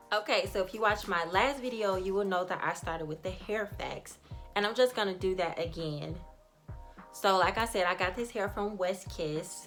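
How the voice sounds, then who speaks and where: A woman of medium pitch with an American accent, moderate pace and ordinary pitch variation, music in the background. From Chicago. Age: 20s. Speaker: beauty vlogger. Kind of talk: casual talk to camera.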